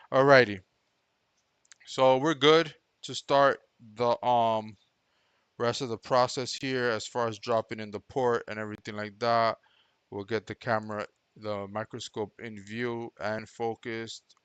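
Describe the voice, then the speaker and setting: A man speaks at a medium pitch with a non-native accent, his intonation fairly even and his loudness swinging widely. Long pauses come often, over a quiet background. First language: not English. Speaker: electronics repair technician. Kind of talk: live-streamed repair commentary. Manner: casual, thinking aloud.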